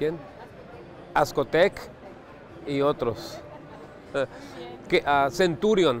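With faint crowd noise in the background, a man talks very slowly at a fairly high pitch with lively intonation.

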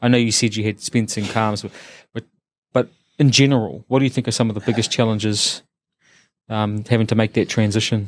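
In a dry sound with no echo, a man with a New Zealand accent talks very fast in a monotone, flat intonation, with long, frequent pauses. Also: quiet background. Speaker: podcast host. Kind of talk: interview. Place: studio. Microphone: studio mic.

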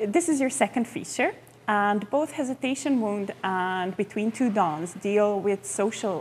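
A woman with a Croatian accent speaks somewhat breathily at a fairly slow pace. Her pitch swings very widely over light background noise. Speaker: film journalist. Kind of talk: interview. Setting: film festival. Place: hall.

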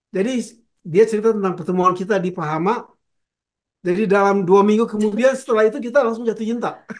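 Over a quiet background, a man speaks very fast at a high pitch with ordinary pitch variation. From Indonesia. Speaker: veteran pop singer; guest. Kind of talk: interview. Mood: warm, reminiscing. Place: home room.

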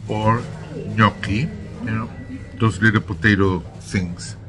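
Over noticeable background noise, a man with a fairly low pitch speaks at a very slow pace with ordinary pitch variation. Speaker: travel vlogger. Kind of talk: casual vlog chat. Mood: cheerful, appreciative. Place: cafe. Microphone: phone near.

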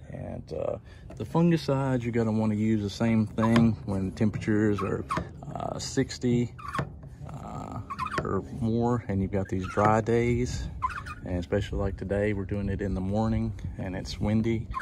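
Against noticeable background noise, a man speaks at a moderate pace with ordinary pitch variation. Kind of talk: tutorial. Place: garden.

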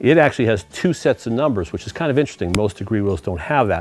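A man at a very fast pace, in a dry sound with no echo. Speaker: car show host. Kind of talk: tutorial. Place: garage.

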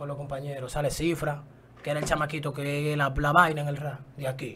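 Over light background noise, a man with a Dominican accent talks at a fairly quick pace and a fairly high pitch. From Dominican Republic. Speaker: rapper; interview guest. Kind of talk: casual interview. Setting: studio. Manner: animated. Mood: confrontational, defiant. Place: studio. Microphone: studio mic.

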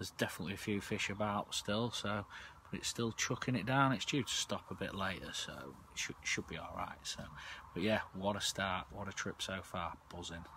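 A man's fairly low, bright and sharp voice at a fairly quick pace, ordinary pitch variation, dry sound with no echo and light background noise. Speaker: angler vlogger. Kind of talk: casual vlog chat. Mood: pleased, excited. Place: tent. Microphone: phone near.

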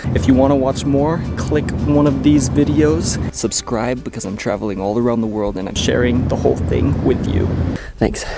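Over clear background music, a man speaks at a moderate pace in a dry recording with no echo. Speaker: travel vlogger. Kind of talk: casual vlog chat.

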